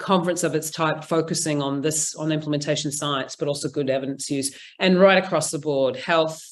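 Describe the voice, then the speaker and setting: In a New Zealand accent, a woman speaks with a very deep, low pitch and fairly even intonation at a fairly quick pace, with hardly any pauses and audible room echo. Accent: Kiwi. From New Zealand, Auckland. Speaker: implementation science researcher. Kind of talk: conference presentation; casual chat.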